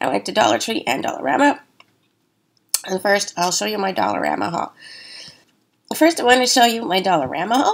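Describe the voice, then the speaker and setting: A woman's voice with very wide pitch swings and vocal fry. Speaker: craft and haul YouTuber. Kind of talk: casual vlog haul. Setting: home studio. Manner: halting with many fillers.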